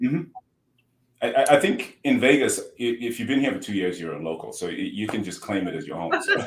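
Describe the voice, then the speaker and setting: A man speaks with a Zimbabwean accent. His pace is fairly quick. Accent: Zimbabwean, noticeable. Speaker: healthcare tech entrepreneur. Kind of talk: podcast interview. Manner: halting, repeats words.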